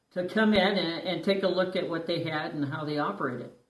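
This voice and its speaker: A man with a high pitch and ordinary pitch variation is heard with audible room echo. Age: 60s. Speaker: dental patient sharing experience. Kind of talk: personal testimony. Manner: hesitant, many fillers.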